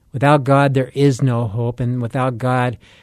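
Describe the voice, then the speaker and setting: A man's medium-pitched, dark, mellow voice at a moderate pace, with an American accent. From United States. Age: 50s. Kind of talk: radio commentary and preaching.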